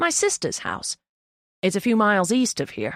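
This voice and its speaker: A put-on character voice, fairly high in pitch, at a moderate pace in a very clean recording with a silent background. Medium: read story. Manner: confident, offbeat.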